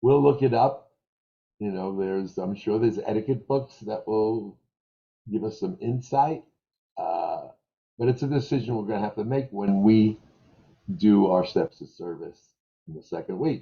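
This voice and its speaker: A lively, somewhat breathy delivery with a New York accent, big swings in loudness, and long, frequent pauses. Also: man, medium pitch for a man, moderate pace. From New York, Brooklyn. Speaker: restaurant trainer. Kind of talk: staff training meeting. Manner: animated.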